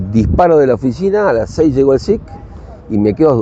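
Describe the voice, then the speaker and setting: Speaking at a fairly quick pace, a man uses a Rioplatense accent with very wide pitch swings. Noticeable background noise is present. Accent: Argentine Rioplatense Spanish. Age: 60s. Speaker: rugby coach and former international player. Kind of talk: casual chat.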